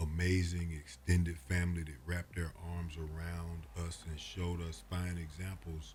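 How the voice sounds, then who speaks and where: Very deep, low male voice at a moderate pace, with ordinary pitch variation and noticeable background noise. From Atlanta. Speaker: prosecutor. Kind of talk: interview answer.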